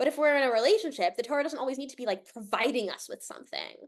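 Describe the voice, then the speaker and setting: This woman has a high-pitched voice with an American accent. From Connecticut, US. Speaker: rabbi teaching a class. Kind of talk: interactive online class discussion.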